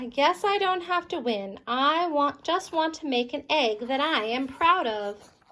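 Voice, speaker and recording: Using a put-on character voice, a woman speaks high in pitch at a fairly slow pace with hardly any pauses. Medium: read story.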